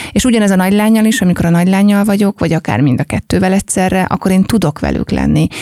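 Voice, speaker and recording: A woman speaks at a very fast pace over noticeable background noise, the sound dry and close with no echo. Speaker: entrepreneur, lifestyle company founder. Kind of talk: casual chat.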